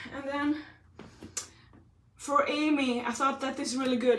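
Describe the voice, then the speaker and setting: A loud woman, high-pitched and animated in tone, at a fairly quick pace with audible room echo. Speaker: fitness trainer. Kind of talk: live workout tutorial. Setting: livestream.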